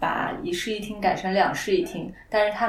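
With fairly even intonation and a moderate pace, a woman talks through audible room echo and noticeable background noise. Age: 30s. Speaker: content operations director. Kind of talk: casual chat.

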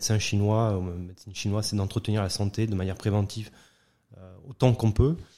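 A man with a fairly low pitch and a dark, mellow tone. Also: fairly even intonation, fairly quick pace, very clean recording, silent background. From southern France, Nîmes. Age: 40s. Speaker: heart surgeon and entrepreneur. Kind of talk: interview.

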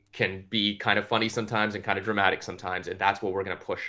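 A man's fairly low voice at a fairly quick pace, an unremarkable speaking voice. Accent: Canadian. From Canada, Toronto area (Scarborough, Ontario). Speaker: actor. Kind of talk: interview.

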